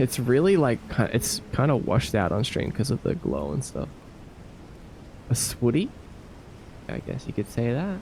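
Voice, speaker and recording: A man with an Australian accent, medium pitch and vocal fry, very wide pitch swings, a moderate pace and long, frequent pauses. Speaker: game developer and streamer. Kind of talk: casual live stream chat. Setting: live stream.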